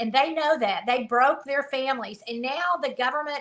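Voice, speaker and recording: A woman speaks with a Southern accent. Her voice is high, with ordinary pitch variation. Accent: Southern, drawn-out vowels. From US South. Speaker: conservative education activist. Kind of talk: casual interview chat.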